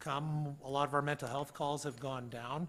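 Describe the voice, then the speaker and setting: Bright and sharp in tone, a man's voice sits at a fairly high pitch. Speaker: police officer. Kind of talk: council meeting report. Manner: fast.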